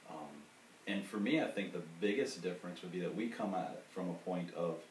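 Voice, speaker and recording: At a moderate pace, a man with an American accent speaks in a very deep, low voice with ordinary pitch variation, amid light background noise and audible room echo. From US South. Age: 40s. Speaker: sex coach. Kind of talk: casual chat. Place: home room. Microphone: camera far.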